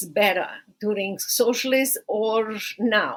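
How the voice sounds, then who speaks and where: A woman with a Romanian accent speaks in a fairly high pitch, her voice moving up and down in an ordinary way. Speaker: podcast host and human rights attorney. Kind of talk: podcast monologue. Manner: halting.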